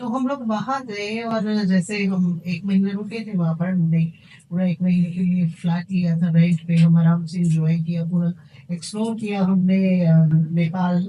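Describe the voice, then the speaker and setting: A woman's plain, everyday voice, fairly low in pitch, with fairly even intonation. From India. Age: 50s. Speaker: tarot card reader. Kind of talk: podcast interview.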